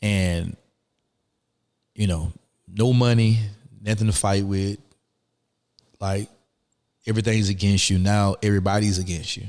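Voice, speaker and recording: In a Southern US accent, the speaker talks at a moderate pace with monotone, flat intonation and long, frequent pauses. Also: man. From US South, rural Alabama. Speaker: former prisoner, life coach. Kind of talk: interview. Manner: halting.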